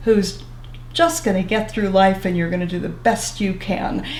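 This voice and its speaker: A woman speaks with audible room echo. Noticeable background noise runs behind her. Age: 70s. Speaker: social worker. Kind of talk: interview.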